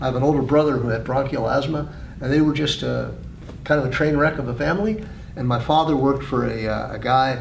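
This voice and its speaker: The recording has audible room echo and noticeable background noise. A man talks very fast. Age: 60s. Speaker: president of a health association. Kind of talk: interview. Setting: conference. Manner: halting.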